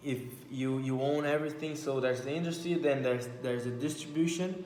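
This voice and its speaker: With a Brazilian Portuguese accent, a man talks at a fairly quick pace and fairly high pitch with fairly even intonation, amid audible room echo and noticeable background noise. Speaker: vlogger. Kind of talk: casual monologue. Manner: halting.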